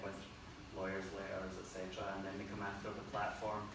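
A man talks fairly quickly in a room with audible echo and noticeable background noise. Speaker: presenter. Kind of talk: talk presentation. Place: meeting room. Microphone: camera far.

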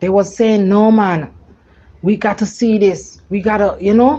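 A dark, mellow tone, somewhat breathy, at a fairly slow pace. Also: woman. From Jamaica. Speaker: woman sharing a personal supernatural experience. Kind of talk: testimony. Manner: animated.

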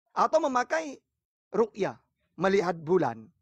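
Against a quiet background, with a dry sound and no echo, the speaker has a strong East Java accent and very wide pitch swings at a moderate pace. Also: man. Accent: strong Madurese-tinged East Java. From East Java, Pasuruan. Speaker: Islamic preacher answering questions. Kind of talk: religious debate and Q&A. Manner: firm, forceful-sounding speech. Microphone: phone near.

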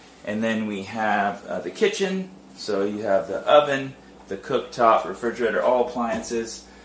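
A man's voice over light background noise, with audible room echo. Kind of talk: property tour commentary. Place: home room. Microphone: lapel.

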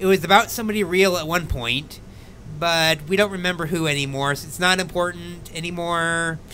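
At a fairly quick pace, the voice has a bright, sharp tone over light background noise. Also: man, high pitch for a man, fairly even intonation. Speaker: guest. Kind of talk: casual live stream chat. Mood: amused, self-deprecating. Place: home room. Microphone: studio mic.

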